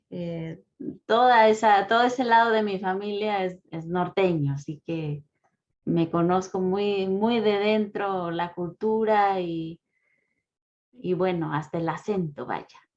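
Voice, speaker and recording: A very slow pace of speech, with music in the background. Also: woman, medium pitch for a woman, ordinary pitch variation. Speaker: philosophy professor. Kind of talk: lecture. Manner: calm.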